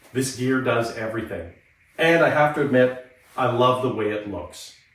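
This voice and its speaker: Audible room echo surrounds the speaker, a man. His pitch variation is ordinary. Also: medium pitch for a man, moderate pace. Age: 50s. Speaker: motorcycle gear reviewer. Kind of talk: product review vlog.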